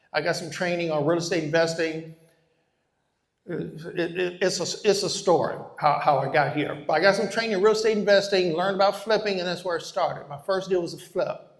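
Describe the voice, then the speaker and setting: A man with a high voice speaks at a fairly quick pace. His intonation is fairly even, and audible room echo surrounds him. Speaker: real estate investor and educator. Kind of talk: live workshop presentation. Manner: fast.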